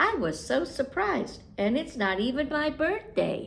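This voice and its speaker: In a put-on character voice, a woman speaks at a high pitch with very wide pitch swings. Her pace is moderate, and clear background noise runs behind her. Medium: read story. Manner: prim, fussy.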